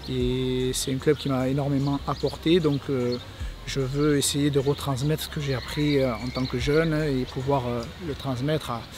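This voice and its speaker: There is noticeable background noise as a man with fairly high pitch speaks at a fairly slow pace in a monotone, flat intonation. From Provence, southern France (Vaucluse). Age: 30s. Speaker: rugby club youth staff member, former player. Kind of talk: interview monologue. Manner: halting, many hesitations.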